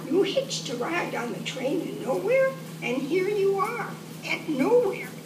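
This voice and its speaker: A woman uses a put-on character voice at a moderate pace. Loud background noise fills the recording. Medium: read story. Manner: curt, cryptic.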